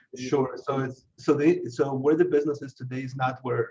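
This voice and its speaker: Somewhat breathy, a man with a non-native accent speaks at medium pitch and a moderate pace with fairly even intonation. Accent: foreign. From abroad, emigrated to US at age 13. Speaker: IT business owner. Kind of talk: interview. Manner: halting, many repetitions.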